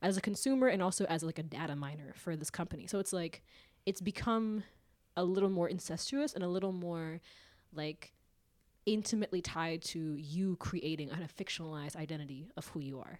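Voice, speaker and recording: An ordinary speaking voice, this woman talks at a fairly quick pace and fairly low pitch with an American accent and ordinary pitch variation. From suburb of Seattle, US. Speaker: podcast co-host. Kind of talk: casual chat.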